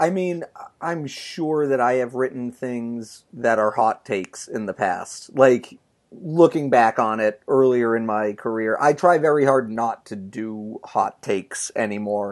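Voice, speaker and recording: A normal speaking voice talks at a fairly slow pace with ordinary pitch variation. The background is quiet. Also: man, medium pitch for a man. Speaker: sports writer podcast co-host. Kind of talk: casual chat.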